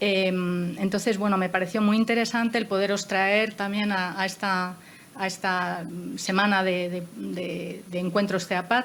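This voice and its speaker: A woman speaks at a fairly slow pace and medium pitch. Her intonation is monotone and flat. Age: 60s. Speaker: moderator of a panel discussion. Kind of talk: panel discussion. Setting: panel with armchairs and table. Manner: hesitant, with many fillers.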